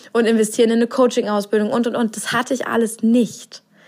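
Noticeable background noise sits behind a woman speaking fairly quickly. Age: 30s. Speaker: podcast host and business coach. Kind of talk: solo podcast monologue. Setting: living room at home.

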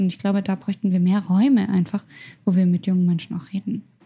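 A woman talks at a very fast pace in a medium pitch. Her voice is somewhat breathy, with a dark, mellow tone. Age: 20s. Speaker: youth officer and beauty pageant winner. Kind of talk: casual chat.

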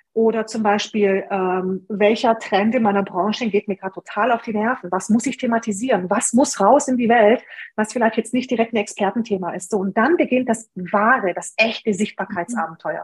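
Speaking with a Hungarian accent, a woman is somewhat breathy and fairly high in pitch. Her pace is moderate, with ordinary pitch variation. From Germany, came from Romania aged six. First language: Hungarian (speaking German). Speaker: online business blogger and copywriter. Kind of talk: interview.

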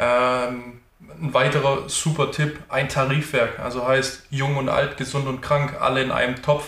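Amid audible room echo, a man with a medium pitch talks at a fairly slow pace in a monotone, flat intonation. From Stuttgart area, Germany. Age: 30s. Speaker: sales consultant, former handball player. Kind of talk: interview.

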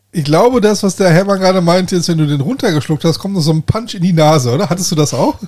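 A man's high voice at a very fast pace, with ordinary pitch variation. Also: hardly any pauses. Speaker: podcast host. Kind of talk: casual chat. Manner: loud; hesitant, many fillers.

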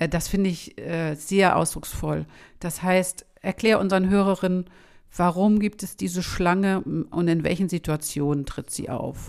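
A woman with a plain, everyday voice speaks at a fairly low pitch and fairly slow pace, with fairly even intonation, on a very clean recording with a silent background. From Schleswig-Holstein, northern Germany. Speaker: podcast host, academic. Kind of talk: interview conversation.

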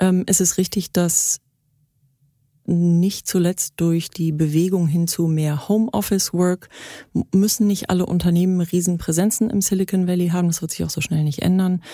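Speaking at a moderate pace, a woman has a fairly low pitch, a dark, mellow tone and fairly even intonation. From Germany. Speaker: startup founder, former media executive. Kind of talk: interview.

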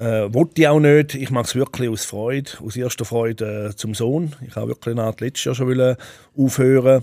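Dry and close with no echo, a man's dark, mellow voice sits at a medium pitch with fairly even intonation. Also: moderate pace. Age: 40s. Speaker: Swiss wrestler. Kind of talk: interview.

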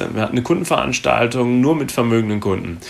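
The pitch varies in an ordinary way. Noticeable noise sits in the background. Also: man. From Germany, Gütersloh (North Rhine-Westphalia). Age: 30s. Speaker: insurance investment specialist. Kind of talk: casual interview.

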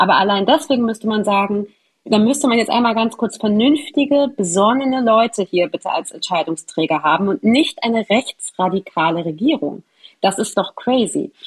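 A woman speaks at a moderate pace, her fairly high voice somewhat breathy. Her intonation is lively. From Hamburg, northern Germany. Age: young. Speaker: journalist reporting on Palestine. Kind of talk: conversational interview.

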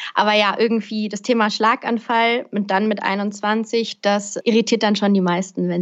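A woman speaks with hardly any pauses against a quiet background. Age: 20s. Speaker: podcaster and speaker on personal development. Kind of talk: interview.

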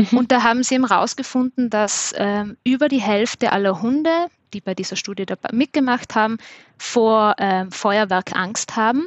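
Moderately paced, a woman talks at a fairly high pitch with ordinary pitch variation. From South Tyrol. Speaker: dog trainer. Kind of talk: casual interview.

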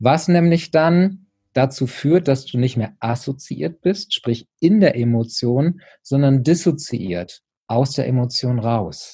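Somewhat breathy and dark, mellow in tone, a man speaks at a medium pitch and a very slow pace. His intonation is lively, and the background is quiet. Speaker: personal development coach. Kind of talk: interview.

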